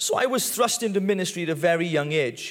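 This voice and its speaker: With lively intonation, a man talks in a high register. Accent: strong Welsh. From Wales. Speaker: pastor. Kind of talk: testimony. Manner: halting.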